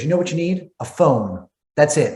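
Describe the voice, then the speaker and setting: A man is speaking. He has a Philadelphia accent. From Philadelphia, US. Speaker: entrepreneur and marketer. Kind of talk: guest talk on coaching call. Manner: fast.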